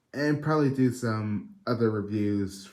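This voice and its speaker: A quiet man at a fairly slow pace, fairly low-pitched with ordinary pitch variation, with audible room echo. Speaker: toy reviewer. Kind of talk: video review. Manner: low, quiet; hesitant, many fillers.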